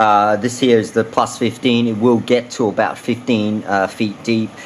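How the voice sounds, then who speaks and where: Speaking at a moderate pace with an Australian accent, a man with a medium pitch keeps a monotone, flat intonation. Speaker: fishing lure reviewer. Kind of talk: product review. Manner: many filler words, hesitant.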